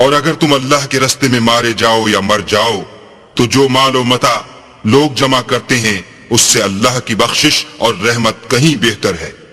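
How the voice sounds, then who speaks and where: A man speaks at a medium pitch and a fairly slow pace. Noticeable background noise runs underneath. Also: ordinary pitch variation. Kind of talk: Hindi/Urdu translation reading alternating with Arabic verses.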